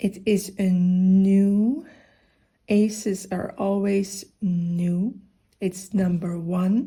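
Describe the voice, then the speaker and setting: Soft-spoken and somewhat breathy, a woman talks at a very slow pace and medium pitch, her tone dark, mellow and gentle, her intonation fairly even. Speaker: funeral director and grief counselor; massage therapist and yoga teacher. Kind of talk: tarot reading to camera. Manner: soft-spoken, gentle.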